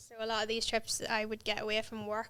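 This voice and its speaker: A woman with a Northern Irish accent talks at a fairly quick pace, her fairly high voice bright and sharp but flat and monotone. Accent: south Armagh Northern Irish. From Northern Ireland, County Armagh. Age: 30s. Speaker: dentist and mountaineer. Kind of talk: podcast interview.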